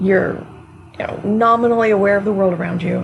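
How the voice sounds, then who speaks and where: Quiet speech at a fairly quick pace amid noticeable background noise. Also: woman. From United States. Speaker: energy work teacher. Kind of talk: online class lecture. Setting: live stream on Discord. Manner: casual, hesitant with fillers.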